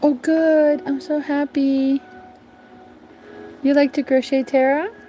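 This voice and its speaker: A high-pitched woman, very slow and fairly even in intonation, with music in the background. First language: not English (English is fifth language). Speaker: crochet livestreamer. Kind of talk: casual livestream chat while crocheting. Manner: hesitant, many fillers.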